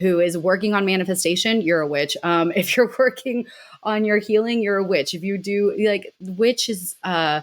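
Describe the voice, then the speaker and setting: A woman with a normal speaking voice, medium in pitch, ordinary pitch variation and a moderate pace, on a very clean recording with a silent background. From Mexico City, Mexican family, raised in US. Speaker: miniature artist and witch. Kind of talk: casual interview chat.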